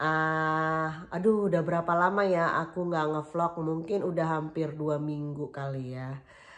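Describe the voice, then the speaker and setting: A woman with a very deep, low pitch talks at a fairly slow pace with fairly even intonation and hardly any pauses. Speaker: vlogger. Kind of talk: casual vlog chat. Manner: chatty, many fillers.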